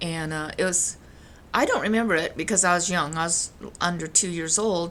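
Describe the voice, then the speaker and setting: A woman speaks in a fairly low-pitched voice. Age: 70s. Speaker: grandmother telling family memories. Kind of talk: casual personal storytelling to camera. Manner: halting, many fillers.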